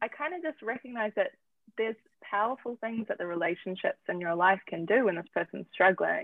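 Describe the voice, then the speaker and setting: A woman with a New Zealand accent speaks at a moderate pace in a fairly high voice, her intonation lively. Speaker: founder of an addiction family support platform. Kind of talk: interview.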